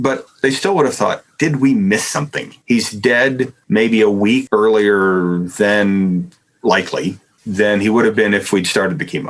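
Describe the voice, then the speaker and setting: In an unremarkable speaking voice, a man talks at a moderate pace and medium pitch with lively intonation. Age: 60s. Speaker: philosophy professor. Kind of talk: podcast interview answer. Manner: conversational with fillers and repetitions.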